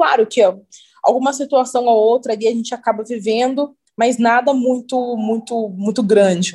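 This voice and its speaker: A woman's plain, everyday voice, fairly high in pitch. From interior of São Paulo state (Cruzeiro, near Rio border). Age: 20s. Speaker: model and beauty pageant titleholder. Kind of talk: casual interview.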